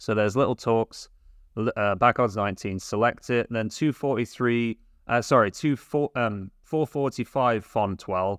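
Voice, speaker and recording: The speaker has a British accent. The pitch shows ordinary variation. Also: man, medium pitch for a man, moderate pace, dry, close sound with no echo, quiet background. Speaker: sports betting youtuber. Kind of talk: tutorial. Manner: hesitant, with fillers.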